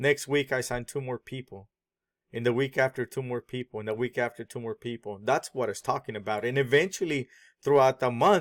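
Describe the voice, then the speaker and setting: In a very clean recording with a silent background, a man with a non-native accent speaks at a fairly quick pace, the sound dry and close with no echo. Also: medium pitch for a man, ordinary pitch variation. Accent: foreign accent audible. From born abroad, immigrant. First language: not English. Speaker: online marketing vlogger. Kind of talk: sales pitch.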